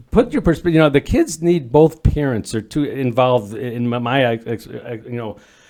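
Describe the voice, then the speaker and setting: This man speaks at medium pitch in a Midwestern US accent, with a dark, mellow tone, ordinary pitch variation, big swings in loudness, a moderate pace and hardly any pauses. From northern Illinois. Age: 60s. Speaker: volunteer dads group facilitator. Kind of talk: podcast interview. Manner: halting, many repeated words.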